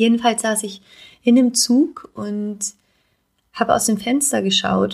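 Somewhat breathy, fairly high voice of a woman at a very slow pace, with long, frequent pauses. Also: ordinary pitch variation. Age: 20s. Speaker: podcast host and life coach. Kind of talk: solo podcast monologue.

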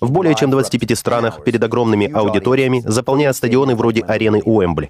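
Pitch shifts in an ordinary way. The pace stays moderate. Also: man. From US. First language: English (speaking Russian). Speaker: podcast host. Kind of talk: interview.

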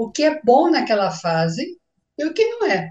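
A woman speaks with a high pitch. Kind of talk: casual chat.

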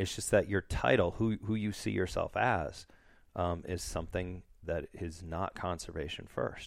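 In an American accent, a man speaks at a fairly slow pace with a very deep, low pitch, vocal fry and ordinary pitch variation, on a very clean recording with a silent background. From northern Wisconsin. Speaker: nonprofit executive director. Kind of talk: casual interview chat.

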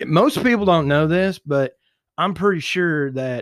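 Lively intonation marks a man's speech at a fairly slow pace. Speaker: podcast guest. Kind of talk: casual chat. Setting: studio. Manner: loud; animated.

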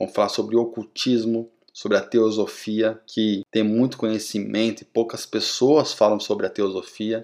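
A man speaks in a flat monotone. He barely pauses at all. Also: medium pitch for a man, moderate pace, very clean recording, silent background. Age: 30s. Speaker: podcast host. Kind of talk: solo podcast monologue.

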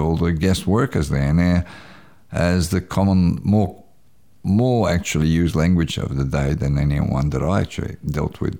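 Speaking at a moderate pace in a Croatian accent, a man uses a very deep, low voice with ordinary pitch variation. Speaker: community radio announcer. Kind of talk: interview.

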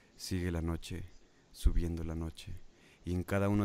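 With a Mexican accent, a man talks at a moderate pace in a very deep, low pitch, his tone dark and mellow and his intonation fairly even. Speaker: radio host. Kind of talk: casual chat; poetry reading aloud. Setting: live online stream.

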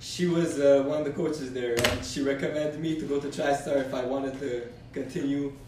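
A man speaks at a moderate pace in a fairly high pitch. Audible room echo and noticeable background noise accompany him. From Canada. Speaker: amateur MMA fighter. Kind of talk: casual interview.

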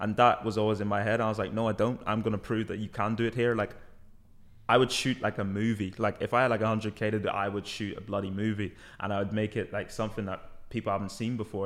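The delivery is very fast and monotone, with flat intonation. The recording is very clean with a silent background. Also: man. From Belfast, Northern Ireland (born in London, moved at ten). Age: 20s. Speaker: musician. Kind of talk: casual chat.

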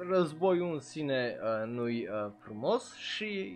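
With music in the background, this man's pitch swings very widely. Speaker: anime streamer and podcaster. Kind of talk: live stream commentary. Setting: live stream on Twitch. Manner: casual, filler-heavy (uh).

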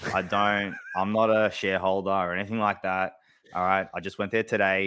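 A man with an Australian accent speaks fairly quickly in a fairly low pitch and a bright, sharp tone, with fairly even intonation, on a very clean recording with a silent background. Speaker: AFL fan podcast co-host. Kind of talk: casual sports chat. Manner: halting, many fillers.

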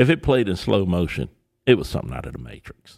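A man speaks at a fairly quick pace with vocal fry. His tone is animated. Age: 50s. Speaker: comedian. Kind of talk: casual chat.

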